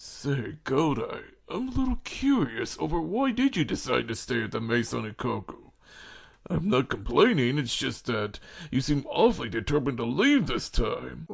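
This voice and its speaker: A man uses a put-on character voice. He speaks at a moderate pace. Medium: audio drama. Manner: knowing, conversational.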